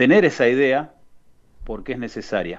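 A man with a Rioplatense accent speaks at a fairly slow pace. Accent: Argentine Rioplatense Spanish. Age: 40s. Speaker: youth football coordinator. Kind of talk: radio interview. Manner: halting.

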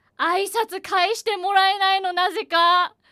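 In a dry, close sound with no echo, a woman uses a raised, projected voice at an extremely high pitch, with a bright, sharp tone and a fairly slow pace. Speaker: announcing student. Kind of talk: casual chat.

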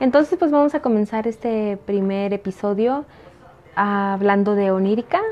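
Music plays behind a woman with a fairly high pitch. She talks at a fairly slow pace with ordinary pitch variation. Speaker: podcaster and fiction writer. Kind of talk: reading aloud; casual chat.

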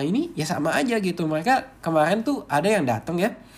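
A man talks fairly quickly in a high-pitched voice. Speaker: podcast host and movie reviewer. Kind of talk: casual solo podcast sharing. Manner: casual, chatty, conversational.

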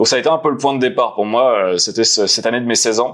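This is a man with an unremarkable speaking voice. He speaks at a medium pitch with ordinary pitch variation. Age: 30s. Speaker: author and entrepreneur, former poker player. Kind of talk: casual interview.

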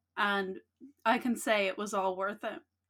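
Over a silent background in a very clean recording, a woman speaks at a fairly slow pace and a fairly high pitch. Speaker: podcast co-host. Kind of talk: casual chat. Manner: loud.

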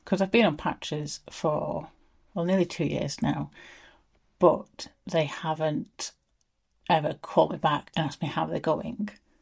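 Speaking at a fairly slow pace with long, frequent pauses, a woman uses a very deep, low pitch with vocal fry and ordinary pitch variation. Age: 40s. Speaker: menopause interviewee. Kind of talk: casual chat.

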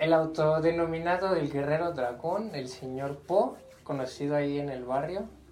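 A man's fairly high voice with ordinary pitch variation, audible room echo and noticeable background noise. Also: moderate pace. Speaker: podcast host. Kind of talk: casual chat.

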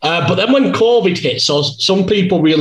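The speaker is a man with an English accent. His delivery moves at a moderate pace. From England. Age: 30s. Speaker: streamer and darts player. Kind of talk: interview.

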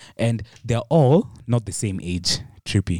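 Recorded very cleanly against a silent background, a man with a fairly low pitch talks at a very slow pace, his pitch moving in an ordinary way. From Kenya. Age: 20s. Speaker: illustrator and animator. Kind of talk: casual chat.

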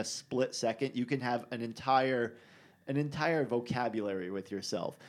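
This man has a plain, everyday voice and lively intonation at a moderate pace. The recording is very clean, with a silent background. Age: 30s. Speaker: podcast host and bike rider. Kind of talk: casual chat. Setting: studio.

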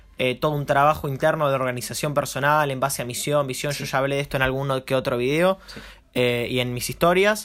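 The delivery runs at a very fast pace. Intonation stays fairly even. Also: man, fairly high pitch for a man. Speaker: marketing podcast host and entrepreneur. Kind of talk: casual chat.

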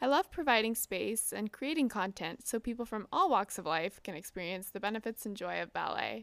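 Recorded very cleanly over a silent background with a dry, close sound and no echo, a woman with an American accent speaks at a fairly quick pace and fairly high pitch with lively intonation and vocal fry. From US, Southern California. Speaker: podcast host, ballet dancer. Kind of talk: solo podcast introduction.

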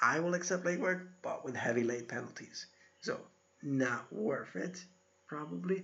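A man with a normal speaking voice talks at a moderate pace. His pitch is fairly high and his intonation lively. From Iowa, US Midwest. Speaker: university instructor. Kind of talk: recorded lecture. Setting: solo recorded video. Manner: casual, conversational.

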